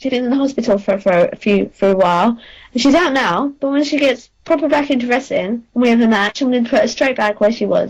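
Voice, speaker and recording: High-pitched and lively in intonation, a woman speaks at a fairly quick pace. She has an American accent. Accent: London accent with slight American tinges. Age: 30s. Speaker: professional wrestler. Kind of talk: interview.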